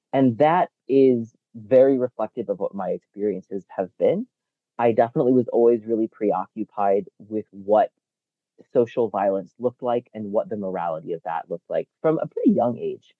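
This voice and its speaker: A man with an American accent uses an ordinary speaking voice at medium pitch, moderate pace and lively intonation. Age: 40s. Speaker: researcher and advocate. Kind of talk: interview.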